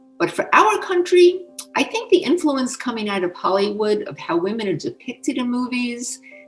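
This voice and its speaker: With music playing behind her, a woman talks at a fairly quick pace and a high pitch, her voice swinging very widely up and down. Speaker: former scientist. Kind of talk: interview answer.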